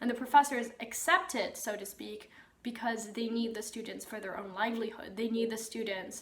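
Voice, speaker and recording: A woman with a fairly high pitch speaks at a moderate pace with ordinary pitch variation and big swings in loudness. The recording has audible room echo and noticeable background noise. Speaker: YouTuber, medieval history channel. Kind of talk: educational talk. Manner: casual with filler words.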